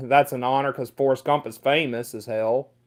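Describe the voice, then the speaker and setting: This is a man speaking with a Mississippi accent. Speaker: livestreamer. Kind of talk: casual chat. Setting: livestream. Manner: halting.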